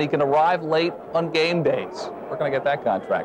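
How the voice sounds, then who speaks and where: A man speaks at a moderate pace with a fairly high pitch. Noticeable background noise runs behind him. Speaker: sports anchor. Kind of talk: TV sports news read. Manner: pleasantly authoritative; playful, upbeat.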